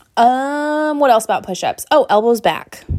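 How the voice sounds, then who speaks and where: A woman speaks with an animated tone. The recording is very clean, with a silent background. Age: 30s. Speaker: fitness trainer and podcast host. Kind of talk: casual solo podcast chat.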